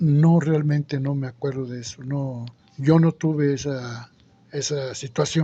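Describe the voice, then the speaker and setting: A man speaks in an Oaxacan accent at a fairly slow pace, his pitch fairly high and his tone dark and mellow. His delivery is somewhat breathy and monotone, with flat intonation but big swings in loudness. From Isthmus of Tehuantepec, Oaxaca, Mexico. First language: Zapotec (speaking Spanish). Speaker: interviewee. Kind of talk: interview.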